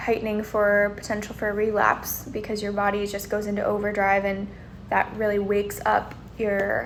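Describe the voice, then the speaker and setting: The talking proceeds at a moderate pace, and audible room echo hangs on every word. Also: woman. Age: 20s. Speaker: vlogger sharing chronic illness experience. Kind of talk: personal vlog monologue. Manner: casual with frequent fillers.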